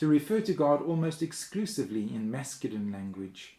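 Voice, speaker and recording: On a very clean recording with a silent background, a man with a fairly high pitch and a dark, mellow tone speaks at a moderate pace. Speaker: minister. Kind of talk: sermon.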